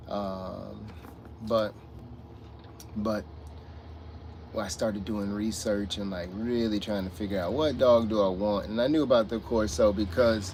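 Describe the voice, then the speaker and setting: A man mumbles at a fairly slow pace in a fairly low voice, with fairly even intonation, long and frequent pauses, and audible echo from the room. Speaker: streamer talking about his dog. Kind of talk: casual livestream chat. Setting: livestream from a truck stop. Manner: mumbling; halting.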